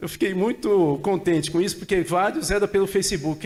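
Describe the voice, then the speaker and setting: A high-pitched man talks at a fairly quick pace. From interior of São Paulo state, Brazil (Tupã, near Marília). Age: 60s. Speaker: political scientist. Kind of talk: seminar talk. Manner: casual conversational.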